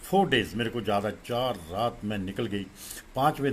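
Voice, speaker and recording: Ordinary pitch variation runs through an ordinary speaking voice. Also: man. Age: 60s. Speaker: devotee and childhood friend of a guru. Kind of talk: spiritual testimony at a satsang.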